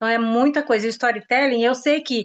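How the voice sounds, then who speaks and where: Her pace is very fast and her pitch fairly high for a woman. The background is quiet. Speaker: sales consultant. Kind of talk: casual chat. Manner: animated.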